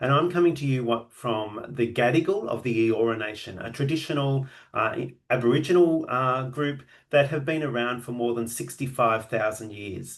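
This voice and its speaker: This man talks at a moderate pace in a medium pitch, with ordinary pitch variation. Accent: Australian. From Australia. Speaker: genealogy and AI presenter. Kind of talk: online lecture. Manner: hesitant, many filler words.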